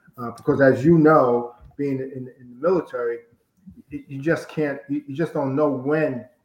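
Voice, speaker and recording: A man with an ordinary speaking voice, fairly high in pitch, with fairly even intonation, a moderate pace and big swings in loudness. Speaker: college football head coach. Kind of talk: interview. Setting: video call.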